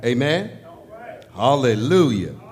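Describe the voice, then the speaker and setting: Music plays in the background as a man speaks. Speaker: service leader. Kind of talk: opening welcome and scripture announcement. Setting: church.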